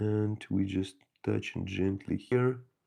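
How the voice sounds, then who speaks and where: A man speaks with ordinary pitch variation. His tone is dark and mellow. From Ukraine. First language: Ukrainian or Russian. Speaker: miniature painting hobbyist streamer. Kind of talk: live-stream painting tutorial chat. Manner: halting, many fillers.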